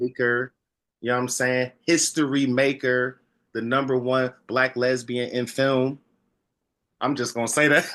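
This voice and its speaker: Speaking at a moderate pace, a man has a bright, sharp tone. His intonation is flat and monotone. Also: medium pitch for a man. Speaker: podcast interviewer. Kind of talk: interview conversation.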